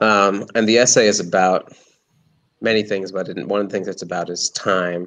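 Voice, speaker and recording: At a moderate pace, a man talks with a fairly low pitch and monotone, flat intonation. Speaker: artist and writer. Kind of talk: casual talk about his work. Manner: halting, repeated words.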